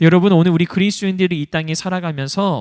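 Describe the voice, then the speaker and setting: A man speaks at a high pitch. His tone is animated. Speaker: pastor. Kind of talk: sermon.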